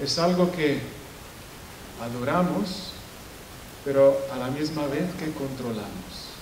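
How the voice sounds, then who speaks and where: A man's very slow speech at a fairly high pitch, with ordinary pitch variation, long, frequent pauses, audible room echo and noticeable background noise. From Italy. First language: Italian (speaking Spanish). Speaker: professor. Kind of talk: lecture. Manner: halting, frequent self-corrections.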